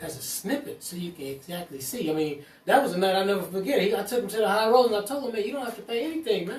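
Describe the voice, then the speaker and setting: Over noticeable background noise, a high-pitched man talks very fast with lively intonation. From US West Coast, East Oakland, California. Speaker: cannabis entrepreneur. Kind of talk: casual chat.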